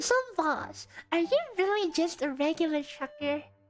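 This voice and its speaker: A woman's squeaky put-on character voice, high in pitch, at a moderate pace over clear music in the background. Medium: virtual streamer.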